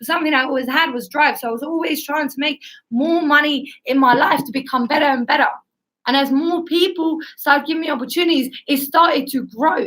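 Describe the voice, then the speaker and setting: Her pace is fairly quick, and this woman's pitch is high. Her pitch variation is ordinary. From Estonia, moved to the UK at eleven. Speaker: guest speaker, former beauty professional. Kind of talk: personal testimony in an interview. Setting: live stream.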